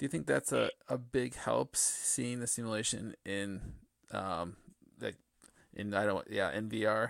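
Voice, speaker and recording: A man's medium-pitched voice carries vocal fry and ordinary pitch variation in a dry, close sound with no echo. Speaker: podcast host. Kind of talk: interview, casual conversation.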